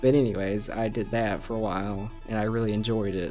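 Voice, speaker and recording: Music plays in the background as the speaker goes at a moderate pace with fairly even intonation. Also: man. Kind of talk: casual gaming commentary. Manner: casual, hesitant.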